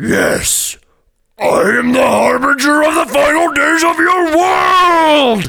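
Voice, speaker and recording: A man performs a put-on character voice at an extremely high pitch. He speaks at a very slow pace. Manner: ominous, dramatic.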